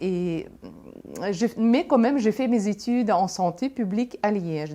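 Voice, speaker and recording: A woman speaks with lively intonation at a medium pitch. Her tone is dark and mellow. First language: Russian (speaking French). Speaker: entrepreneur. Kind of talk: testimony. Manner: halting.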